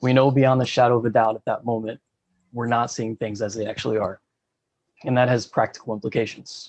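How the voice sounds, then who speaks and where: Talking at a fairly quick clip, a man with a medium-pitched voice keeps a flat, monotone intonation. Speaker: panel speaker at a spiritual study gathering. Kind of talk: presentation talk. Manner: fast.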